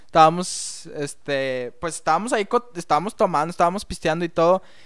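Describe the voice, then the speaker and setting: In a very clean recording with a silent background, a man speaks at a high pitch with ordinary pitch variation. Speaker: podcast co-host. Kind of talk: casual chat.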